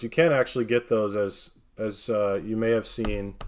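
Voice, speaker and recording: In an American accent, a man speaks at a moderate pace with fairly even intonation and a fairly low pitch. It is a plain, everyday voice. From northern Wisconsin, US. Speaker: card breaker streamer. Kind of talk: live stream card opening commentary.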